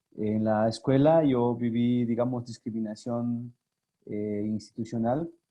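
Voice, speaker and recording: A very slow man with an Oaxacan accent and a medium-pitched voice. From Mexico, Sierra Norte de Oaxaca (Yagavila). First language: Zapotec (speaking Spanish). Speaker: language activist and communicator. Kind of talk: interview. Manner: halting, many fillers.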